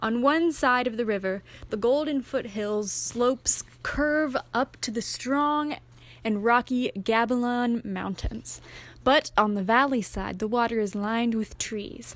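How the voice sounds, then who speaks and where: A woman with an ordinary speaking voice talks fairly slowly at a fairly high pitch with ordinary pitch variation. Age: young. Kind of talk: audiobook reading.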